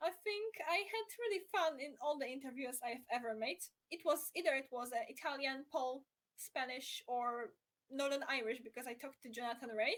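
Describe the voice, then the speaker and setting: High-pitched woman with a Polish accent, lively intonation and a moderate pace. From Poland. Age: young. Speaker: motorsport journalist. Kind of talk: casual interview chat. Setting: live stream.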